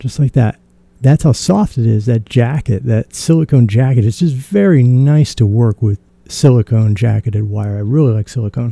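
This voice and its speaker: Somewhat breathy and dark, mellow in tone, a man at medium pitch speaks at a moderate pace with ordinary pitch variation in a dry, close sound with no echo. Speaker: maker demonstrating a DIY electronics build. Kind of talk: tutorial. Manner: casual, conversational with self-corrections.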